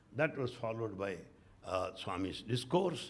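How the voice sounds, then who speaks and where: Somewhat breathy man with an Indian accent, very wide pitch swings, a moderate pace and audible room echo. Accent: Indian English, Telugu. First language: Telugu. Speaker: spiritual speaker, retired professor. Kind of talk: spiritual talk with anecdotes. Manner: animated.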